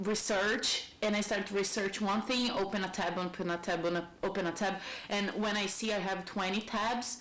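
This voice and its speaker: A woman speaks with a Brazilian accent at a moderate pace and medium pitch. Audible room echo and noticeable background noise are present. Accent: Brazilian accent, non-native English. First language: Portuguese. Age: 30s. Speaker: lifestyle vlogger. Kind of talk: casual monologue.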